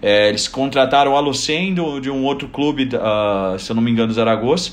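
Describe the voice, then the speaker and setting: A man's fairly high-pitched voice at a moderate pace, with audible room echo. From southern Brazil, Joinville. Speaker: basketball coach. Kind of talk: casual chat.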